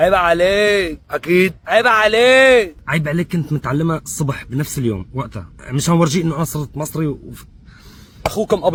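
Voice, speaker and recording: With a Syrian accent, a man speaks at a high pitch, with ordinary pitch variation. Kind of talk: comedic personal anecdote.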